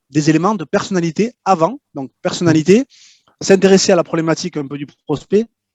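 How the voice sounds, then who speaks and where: Speaking with a slight southwestern French accent at a moderate pace, a man uses a high pitch and ordinary pitch variation, with big swings in loudness and a dry, close sound with no echo. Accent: slight southwest French. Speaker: LinkedIn prospecting consultant. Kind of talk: interview. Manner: hesitant, repeats words.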